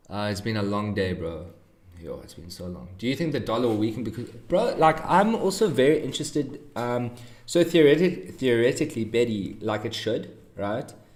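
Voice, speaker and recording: The voice moves at a moderate pace through very wide pitch swings and big swings in loudness, with audible room echo. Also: man, medium pitch for a man. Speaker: trading streamer. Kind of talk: live stream commentary. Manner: mellow.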